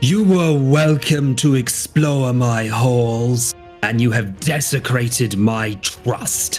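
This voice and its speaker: Clear music plays in the background as a man in a put-on character voice, medium in pitch, speaks at a very slow pace. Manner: accusatory, menacing.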